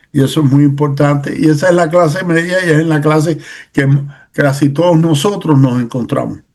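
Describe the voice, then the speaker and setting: A man at a fairly high pitch, fairly quick in pace, with very even loudness and fairly even intonation, amid audible room echo. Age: 60s. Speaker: political commentator. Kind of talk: casual chat. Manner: halting.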